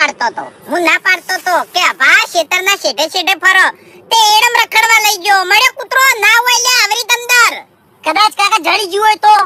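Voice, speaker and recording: A cartoonish character voice at an extremely high pitch, delivered at a moderate pace. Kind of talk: comic cartoon voicing.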